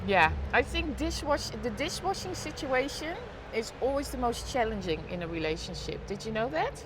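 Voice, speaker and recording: A woman talks at a moderate pace with a Dutch accent. Noticeable background noise and audible room echo surround her voice. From Netherlands. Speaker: live streamer. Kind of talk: casual chat. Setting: live stream on balcony.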